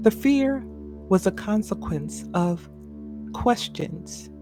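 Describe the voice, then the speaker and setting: Background music accompanies the recording. The woman talks at a very slow pace. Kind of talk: sleep story.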